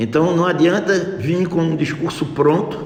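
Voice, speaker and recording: The speech moves at a very slow pace. Noticeable background noise and audible room echo fill the recording. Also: man. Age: 60s. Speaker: local party official and physician. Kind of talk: radio interview.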